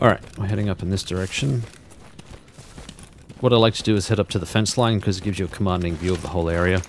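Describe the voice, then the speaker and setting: A man's very deep, low voice with ordinary pitch variation, very fast in pace yet broken by long, frequent pauses, over noticeable background noise. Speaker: gaming streamer. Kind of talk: let's play commentary. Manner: softer than normal.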